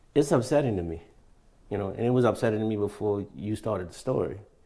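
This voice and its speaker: This man's voice sits fairly low and sounds somewhat breathy, with a dark, mellow tone and ordinary pitch variation. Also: very clean recording, silent background. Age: 60s. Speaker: patient interviewee. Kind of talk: interview.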